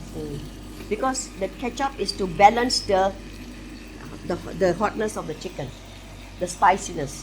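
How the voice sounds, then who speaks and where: With noticeable background noise behind her, a woman talks at a moderate pace, taking long, frequent pauses and making big swings in loudness. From Malaysia. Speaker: home cook. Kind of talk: cooking show explanation. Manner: casual.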